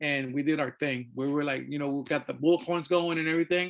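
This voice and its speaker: This man talks at a fairly quick pace with a Spanish accent. The background is quiet. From Mexico. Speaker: artist and activist. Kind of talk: artist talk presentation. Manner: halting, many fillers.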